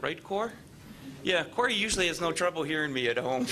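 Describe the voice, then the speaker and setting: A man speaks over noticeable background noise. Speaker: mayoral candidate. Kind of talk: candidate forum answer. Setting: public forum with audience.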